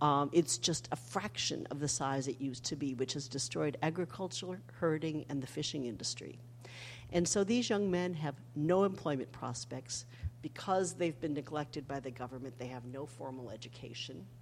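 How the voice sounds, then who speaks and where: Her voice is very deep and low for a woman. There is vocal fry throughout. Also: ordinary pitch variation, moderate pace. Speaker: history professor and author. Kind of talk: public talk. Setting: stage with audience.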